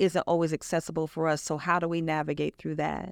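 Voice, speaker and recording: Fairly low in pitch, a woman speaks with an unremarkable speaking voice and an American accent. The sound is dry and close, with no echo. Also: very clean recording, silent background. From US Midwest, Chicago, Illinois. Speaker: nonprofit founder, breast cancer survivor. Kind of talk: interview.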